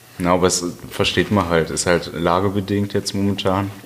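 Over noticeable background noise, a man with a very deep, low pitch speaks at a moderate pace in a monotone, flat intonation. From Germany, Westphalia (Halle). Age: 20s. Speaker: podcast guest. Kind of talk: casual chat.

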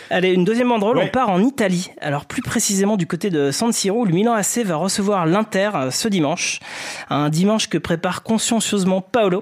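Over noticeable background noise, a man talks at a fairly quick pace and a high pitch. His loudness stays very even, with ordinary pitch variation. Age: 40s. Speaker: sports journalist. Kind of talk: comedic football podcast chat.

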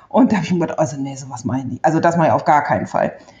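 A woman speaks with a somewhat breathy voice. Her tone is dark and mellow. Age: 40s. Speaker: stay-at-home mother, trained bank clerk. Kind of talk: interview, personal love story.

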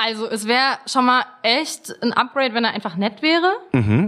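A woman is speaking. Her pace is fairly slow. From Germany. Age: 20s. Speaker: dating show contestant. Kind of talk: casual chat.

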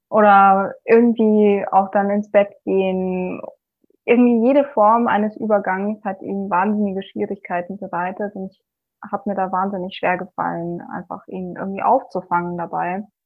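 An ordinary speaking voice, a woman at medium pitch, moderate in pace with fairly even intonation. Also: big swings in loudness. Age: 20s. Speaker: physics student and single mother. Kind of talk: interview about personal experience.

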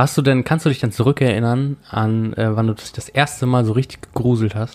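A man speaks at a moderate pace in a medium pitch, his intonation fairly even, with long and frequent pauses. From rural Germany. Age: 20s. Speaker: podcast host. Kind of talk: casual chat.

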